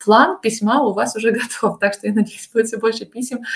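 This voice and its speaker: The speaker is a woman. She talks with a fairly high pitch. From Russia. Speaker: translator and Russian teacher. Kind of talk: casual interview. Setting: remote call.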